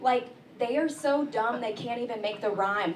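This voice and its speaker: A woman with an American accent speaks with lively intonation, with audible room echo and noticeable background noise. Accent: southern accent, mostly corrected. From rural east Texas. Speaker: comedian. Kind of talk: stand-up. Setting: stage with audience.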